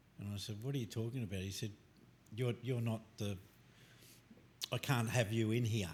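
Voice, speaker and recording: Somewhat breathy, a man speaks at medium pitch and a moderate pace with fairly even intonation. Long, frequent pauses break up his speech. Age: 70s. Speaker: guest sharing faith testimony. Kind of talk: testimony.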